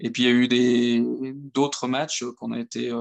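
A medium-pitched male voice comes through with a dry, close sound and no echo. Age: 30s. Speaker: amateur football coach. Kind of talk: podcast interview. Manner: hesitant, many fillers.

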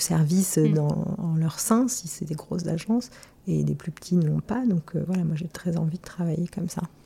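A woman speaks at a moderate pace with a fairly low pitch and ordinary pitch variation. Noticeable background noise runs behind her. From Marseille, southern France. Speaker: gallery founder and former fashion stylist. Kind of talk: interview. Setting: her apartment. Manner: hesitant, many fillers and repetitions.

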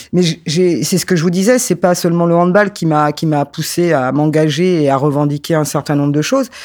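A man with a fairly high pitch talks at a moderate pace with hardly any pauses. His loudness is very even and his pitch variation ordinary. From France, Paris suburbs (Créteil). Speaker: sports sociologist and former handball player. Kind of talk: interview. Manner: halting, many repetitions and fillers.

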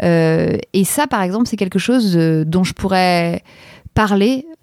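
A woman speaks at a medium pitch with lively intonation and a dark, mellow tone. The sound is dry and close, with no echo. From Paris, France. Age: 40s. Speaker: podcaster. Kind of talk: interview. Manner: hesitant, many fillers.

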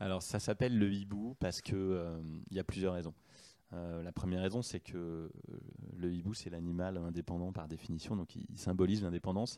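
A man's very deep, low voice with a dark, mellow tone, a fairly quick pace and fairly even intonation. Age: 40s. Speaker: entrepreneur, company founder and CEO. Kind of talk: interview. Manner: hesitant, many fillers and repetitions.

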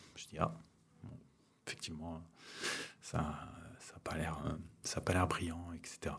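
A man whispering at a very slow pace, with big swings in loudness and long, frequent pauses. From Ariège, southwest France. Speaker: wildlife photographer. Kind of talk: casual chat. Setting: at his home.

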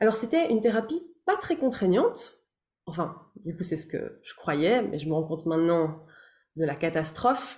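A woman speaks at a moderate pace in a fairly low, somewhat breathy voice, with lively intonation and big swings in loudness. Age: 30s. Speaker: therapist and voice-over artist. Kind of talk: casual chat.

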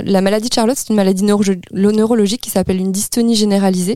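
A woman speaks in a monotone with flat intonation. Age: 40s. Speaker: parent of premature child, association volunteer. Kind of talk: testimony. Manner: halting.

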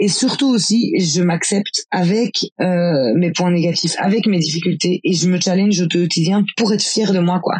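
The speech moves at a fairly slow pace with hardly any pauses, very even loudness and ordinary pitch variation. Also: woman, medium pitch for a woman. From Belgium, rural farm. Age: 30s. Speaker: cycling travel guide and life coach. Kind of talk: personal testimony. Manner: hesitant, many fillers.

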